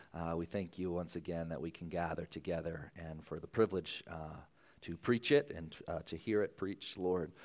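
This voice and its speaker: In a very clean recording with a silent background, a man speaks at a moderate pace. His very deep, low pitch has ordinary pitch variation. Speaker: preacher. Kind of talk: sermon. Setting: church. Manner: halting.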